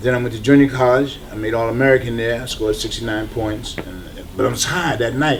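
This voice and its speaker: There is noticeable background noise and audible room echo. A man with medium pitch speaks at a fairly quick pace with fairly even intonation. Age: 60s. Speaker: recovering addict, former athlete. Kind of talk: documentary interview testimony.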